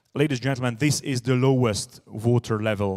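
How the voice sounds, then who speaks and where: Recorded very cleanly with a silent background and a dry, close sound with no echo, a man speaks at medium pitch and a moderate pace in a Hungarian accent. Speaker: event moderator. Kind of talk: conference moderation. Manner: hesitant, many fillers.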